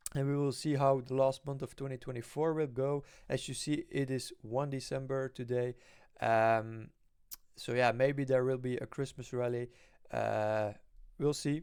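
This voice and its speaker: A man speaks with a non-native accent at a medium pitch and a moderate pace. His intonation is monotone and flat, on a very clean recording with a silent background. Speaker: stock investing youtuber. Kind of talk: casual investing vlog. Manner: halting, many fillers.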